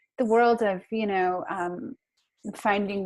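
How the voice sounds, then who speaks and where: This woman has an American accent and a medium pitch. She talks at a moderate pace with ordinary pitch variation. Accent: American, kept despite 20 years in Australia. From United States. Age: 40s. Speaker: author. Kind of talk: interview. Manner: many fillers and restarts.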